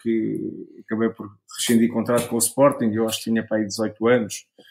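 This man speaks at a medium pitch. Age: 40s. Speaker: former footballer and sports pundit. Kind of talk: casual interview. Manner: halting, frequent repetitions.

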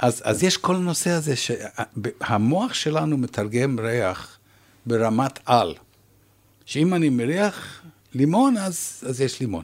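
On a very clean recording with a silent background, a man speaks at a very slow pace and a medium pitch. His pitch swings very widely. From Canada. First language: English (speaking Hebrew). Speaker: retired professor and researcher. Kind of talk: interview.

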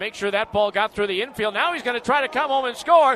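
Over noticeable background noise, a man projects a raised, extremely high voice with lively intonation. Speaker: baseball play-by-play announcer. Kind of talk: radio baseball play-by-play with recap narration. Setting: radio broadcast booth. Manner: building excitement on home run calls.

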